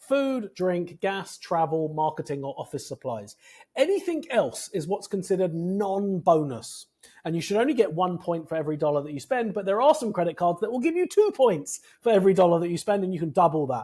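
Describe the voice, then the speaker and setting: The voice has a dark, mellow tone and lively intonation, with a British accent. It moves at a fairly quick pace on a very clean recording with a silent background. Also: man, high pitch for a man. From Britain. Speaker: credit card points expert. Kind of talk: interview. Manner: fast.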